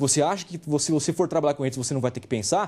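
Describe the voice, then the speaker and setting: Somewhat breathy speech comes at a very fast pace with ordinary pitch variation against a quiet background. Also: man. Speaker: university lecturer. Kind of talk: lecture.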